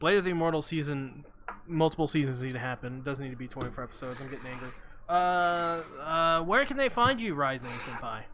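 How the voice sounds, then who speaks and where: A man talks at a very fast pace, his fairly high pitch carrying a bright, sharp tone and ordinary pitch variation. His loudness swings widely, and the room echo is audible. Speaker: anime podcast host. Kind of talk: casual chat. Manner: halting, stuttering.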